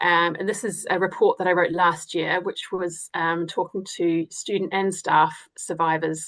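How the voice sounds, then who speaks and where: The speaker talks at a moderate pace with a New Zealand accent. The background is quiet. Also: woman. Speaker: academic researcher. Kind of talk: webinar presentation. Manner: hesitant, many fillers.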